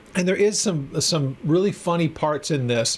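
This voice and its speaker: With a normal speaking voice, a man talks at a moderate pace in a fairly high pitch with ordinary pitch variation. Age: 50s. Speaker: Bible teacher. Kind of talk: lecture. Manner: casual, with many fillers and repetitions.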